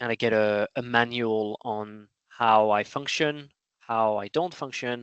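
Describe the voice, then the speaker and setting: Fairly even intonation marks this speech in a French accent. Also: man. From France. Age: 30s. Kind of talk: interview. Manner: halting.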